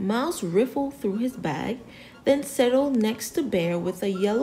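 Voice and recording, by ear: Someone reads aloud in a natural voice, with lively intonation.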